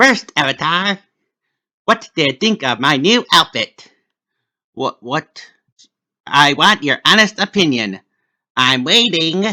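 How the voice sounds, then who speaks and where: A man puts on a character voice, fairly high-pitched with very wide pitch swings, speaking at a fairly slow pace with long, frequent pauses in a dry, close sound with no echo. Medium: read story. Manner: playful, mischievous.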